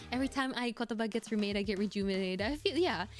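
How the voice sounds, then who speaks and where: A woman at a very fast pace over noticeable background noise. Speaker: vtuber and cover singer. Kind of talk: casual livestream chat. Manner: fast with frequent stammers and fillers.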